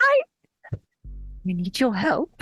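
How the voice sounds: A put-on character voice, female-sounding, with music in the background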